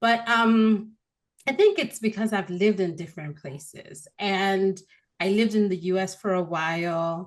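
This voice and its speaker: Speaking at a moderate pace with an American accent, a woman uses a medium pitch and ordinary pitch variation. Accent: Nigerian with American-leaning tones. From Nigeria. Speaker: marketing expert. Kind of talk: podcast interview.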